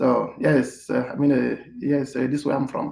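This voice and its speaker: A man talks with a non-native accent. His pace is moderate. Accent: foreign. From Cameroon, Yaoundé. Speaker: hotel manager. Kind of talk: interview. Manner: halting, many fillers.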